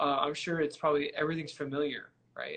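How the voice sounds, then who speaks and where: A man talks with a Midwestern US accent in a fairly high pitch. Noticeable background noise can be heard. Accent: US Midwest. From Michigan. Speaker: trumpet player and interviewer. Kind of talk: casual interview. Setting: live stream.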